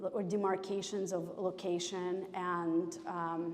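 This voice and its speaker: A Russian accent with audible room echo. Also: woman. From former Soviet Union. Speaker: painter. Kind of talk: public artist conversation. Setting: gallery with audience. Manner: halting, many fillers.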